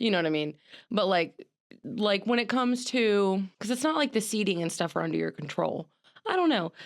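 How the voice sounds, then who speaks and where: A woman speaks fairly quickly in a medium pitch. Her loudness stays very even. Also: lively intonation. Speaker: podcast host. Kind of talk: casual chat. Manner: halting.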